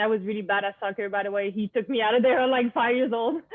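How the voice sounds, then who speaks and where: This woman has a Quebec accent, a fairly high pitch and fairly even intonation. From Quebec, Montreal. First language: French. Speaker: student athlete and club founder. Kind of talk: interview.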